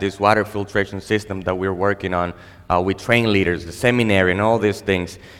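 A man's very deep, low voice with a Spanish accent. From Dominican Republic. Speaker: pastor. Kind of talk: sermon. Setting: church stage with audience. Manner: halting.

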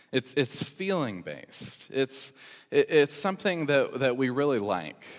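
A man speaks at a medium pitch with vocal fry. His pace is fairly slow. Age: 20s. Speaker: pastor. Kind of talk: sermon. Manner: halting.

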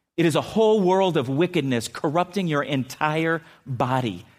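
In an American accent, a man with a fairly high pitch talks at a fairly slow pace with lively intonation. It is an unremarkable speaking voice on a very clean recording with a silent background. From San Diego, California. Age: 50s. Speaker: pastor. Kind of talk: sermon. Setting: church.

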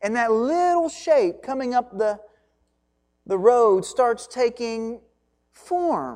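With a Kentucky accent, a woman talks at a very slow pace with long, frequent pauses, her high-pitched voice dark and mellow in tone and lively in intonation. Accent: Kentucky Southern US. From Kentucky (Hancock County). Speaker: pastor. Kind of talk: sermon.

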